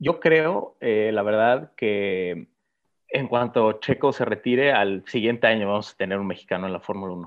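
Speaking at a moderate pace, a man with a fairly low pitch uses ordinary pitch variation. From Mexico. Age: young. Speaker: racing driver. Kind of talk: interview. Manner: halting, many fillers and repetitions.

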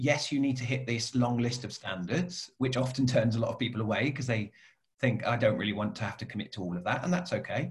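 Somewhat breathy man's voice at medium pitch, ordinary pitch variation and a very fast pace. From Cornwall, southwest England. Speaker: coach and business owner. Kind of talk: interview conversation.

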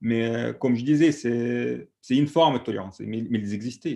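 With an Egyptian accent, the voice has a dark, mellow tone and ordinary pitch variation. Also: man. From Egypt, Alexandria. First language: Egyptian Arabic (speaking French). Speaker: activist. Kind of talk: panel discussion testimony. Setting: video call.

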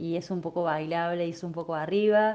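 The woman's tone is dark and mellow. Her pitch moves with ordinary variation. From Córdoba, Argentina. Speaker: singer-songwriter. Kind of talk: interview testimony.

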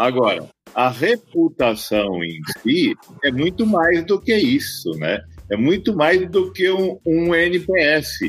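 A man's very slow speech at a high pitch, with very wide pitch swings, and music in the background. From Brazil, Mato Grosso do Sul (Campo Grande). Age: 50s. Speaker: company founder and CEO. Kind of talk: interview.

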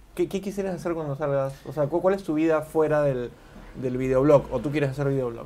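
Fairly quick in pace, a man uses a normal speaking voice, fairly high in pitch with ordinary pitch variation. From Peru, Lima. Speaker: video interviewer. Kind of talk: casual interview.

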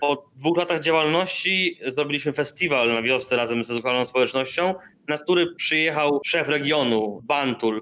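A man's bright, sharp voice at a fairly high pitch, with ordinary pitch variation, very even loudness, a moderate pace and hardly any pauses. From northern Poland, Darłowo. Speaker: artist and community space founder. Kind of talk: interview. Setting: remote call from Indonesia.

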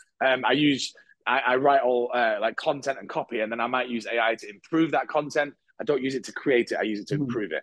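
Here a man speaks with a British accent. He goes very fast, with fairly even intonation. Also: medium pitch for a man. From UK. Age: 30s. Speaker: marketing agency founder. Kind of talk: casual interview chat.

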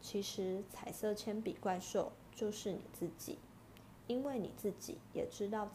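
A person is reading aloud in a natural voice.

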